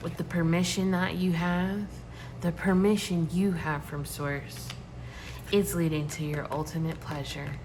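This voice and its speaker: With audible room echo around her, a woman talks at a fairly slow pace, her fairly low pitch kept to fairly even intonation. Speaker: tarot reader. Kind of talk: tarot reading. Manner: shaky.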